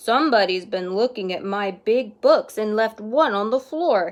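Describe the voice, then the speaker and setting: A woman growls in a put-on character voice pitched fairly high. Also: moderate pace. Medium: read story.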